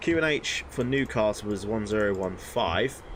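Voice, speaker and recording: A man is speaking, with noticeable background noise. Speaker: flight sim streamer. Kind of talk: live stream commentary. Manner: casual, hesitant with many ums.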